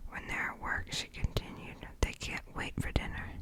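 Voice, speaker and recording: Noticeable background noise sits behind a fairly slow whisper. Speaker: ASMR creator. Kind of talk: novel read aloud for relaxation. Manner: whispered.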